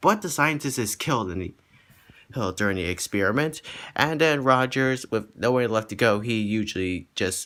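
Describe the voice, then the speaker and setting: A man's bright, sharp, medium-pitched voice with lively intonation at a moderate pace, on a very clean recording over a silent background. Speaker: movie reviewer. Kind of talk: casual movie review. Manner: halting.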